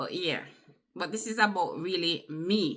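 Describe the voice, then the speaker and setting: The speaker talks with a Jamaican accent. The tone is bright and sharp. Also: woman. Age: 50s. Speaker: vlogger. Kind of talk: personal testimony. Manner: conversational.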